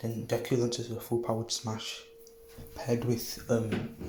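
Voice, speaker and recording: With noticeable background noise and audible room echo, a man at medium pitch speaks at a moderate pace in a monotone, flat intonation. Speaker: YouTuber telling a fan-fiction scenario. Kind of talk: improvised storytelling monologue. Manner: halting, many fillers; quiet, soft-spoken.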